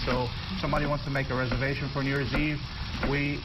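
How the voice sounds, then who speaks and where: A man speaks very fast against loud background noise. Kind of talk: interview answer. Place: studio. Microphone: lapel.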